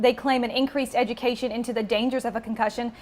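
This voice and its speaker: Over noticeable background noise, a woman talks very fast at a high pitch. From Tennessee. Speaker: TV news reporter. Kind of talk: TV news stand-ups.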